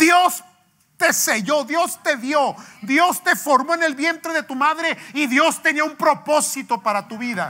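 Extremely high-pitched man's voice, raised and projected, with lively intonation at a very slow pace. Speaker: pastor. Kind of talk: sermon. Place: church.

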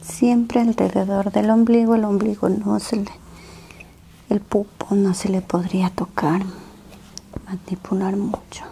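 A soft-spoken voice talks very slowly against light background noise. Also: woman. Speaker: massage therapist. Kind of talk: ASMR massage narration. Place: home room. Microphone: lapel.

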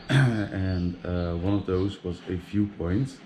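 A man speaks with a very deep, low pitch and fairly even intonation over light background noise. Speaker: travel vlogger. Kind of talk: casual vlog chat. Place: street. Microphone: phone near.

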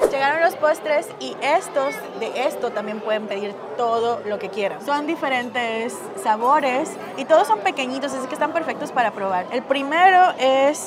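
A woman talks at a fairly slow pace. Music plays in the background. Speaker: travel vlogger. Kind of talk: casual vlog chat. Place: cafe. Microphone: phone near.

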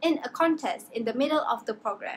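Light background noise sits behind this woman. Her high-pitched voice has lively intonation. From Malaysia. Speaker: student; presenter. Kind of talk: class presentation. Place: home room. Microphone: webcam.

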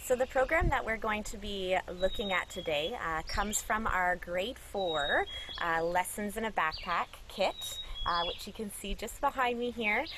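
At a moderate pace, a woman speaks amid noticeable background noise, with a dry sound and no echo. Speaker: environmental educator. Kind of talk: tutorial. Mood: friendly, smiling. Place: forest.

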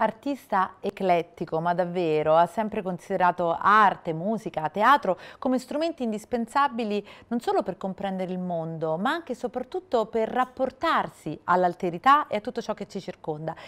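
A woman's plain, everyday voice at a medium pitch and moderate pace, with lively intonation. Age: 40s. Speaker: TV presenter. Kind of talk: TV interview; scripted intro. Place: studio. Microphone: lapel.

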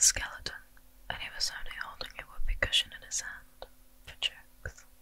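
The voice is a whisper. A woman delivers it at a medium tempo. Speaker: streamer narrating a game story. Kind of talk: storytelling summary of a video game plot. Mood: subdued, low-key. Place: home room.

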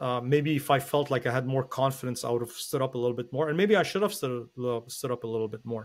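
The man's pitch is medium, with ordinary variation. He talks at a very fast pace. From Lebanon, then Quebec from age 9. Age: 40s. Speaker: pastor. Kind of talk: interview telling life story.

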